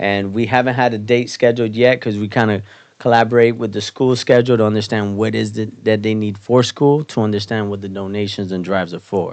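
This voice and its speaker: Speaking at a fairly quick pace with hardly any pauses, a man uses a fairly low pitch and fairly even intonation. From Miami, Florida. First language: Spanish. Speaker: barbershop owner and community organizer. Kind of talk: podcast interview.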